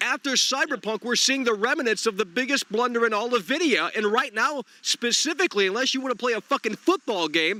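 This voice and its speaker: A man speaks in a raised, projected voice at a high pitch, animated in tone. The sound is dry and close, with no echo. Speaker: gaming streamer. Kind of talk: live stream call-in chat. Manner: loud.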